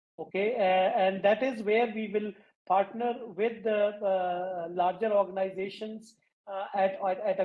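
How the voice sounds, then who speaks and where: A man speaks at a high pitch with fairly even intonation. The background is quiet. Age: 50s. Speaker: waste management entrepreneur; guest. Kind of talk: interview. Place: home room. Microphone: video call.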